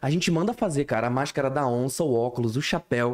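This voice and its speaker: A man talking at a fairly quick pace. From various Brazilian cities, military family. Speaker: podcast host. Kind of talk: casual chat.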